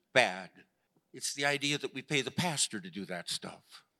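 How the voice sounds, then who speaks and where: On a very clean recording with a silent background, a man with an American accent speaks at a moderate pace in a bright, sharp tone, fairly high in pitch, with vocal fry and very wide pitch swings. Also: dry, close sound with no echo. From US Midwest, Chicago. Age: 70s. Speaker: pastor. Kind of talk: sermon. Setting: church.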